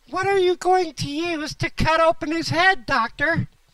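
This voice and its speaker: A squeaky, put-on character voice from a woman, extremely high in pitch, at a moderate pace. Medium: comedy sketch.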